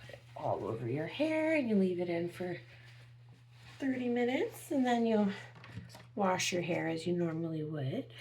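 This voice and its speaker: Over noticeable background noise and audible room echo, a woman whispers at a moderate pace, leaving long, frequent pauses, her loudness swinging widely. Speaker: beauty product reviewer. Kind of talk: product demo vlog. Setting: at home early morning. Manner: whispering.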